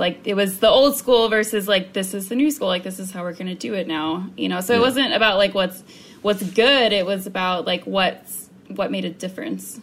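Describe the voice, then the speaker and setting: A woman with an American accent speaks at medium pitch with ordinary pitch variation and vocal fry. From US South. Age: 20s. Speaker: navy public affairs worker. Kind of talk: casual chat.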